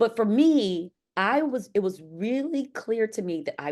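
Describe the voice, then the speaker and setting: A woman with an American accent and very wide pitch swings. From US West Coast, Los Angeles. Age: 50s. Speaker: sociology professor. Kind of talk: academic lecture. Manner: fast.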